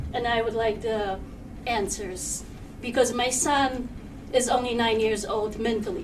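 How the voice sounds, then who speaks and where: A woman speaks at a very slow pace in a high voice. The room echo is audible. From Poland. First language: Polish. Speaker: parent speaking at public comment. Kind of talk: public comment at board meeting. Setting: public meeting with microphone. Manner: halting.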